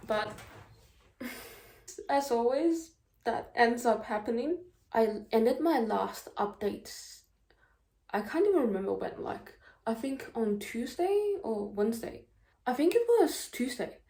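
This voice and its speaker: Speaking at a fairly slow pace with long, frequent pauses, a woman uses lively intonation in a high-pitched voice with a dark, mellow tone. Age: 20s. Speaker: university student vlogger. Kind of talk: casual vlog talk to camera. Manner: slow talker, by own account; casual, lots of filler words.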